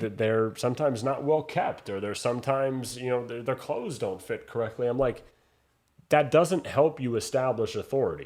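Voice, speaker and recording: This is an ordinary speaking voice from a man at medium pitch with ordinary pitch variation. He talks at a fairly quick pace over a quiet background. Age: young. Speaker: boxing ring announcer. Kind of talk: interview answer, conversational.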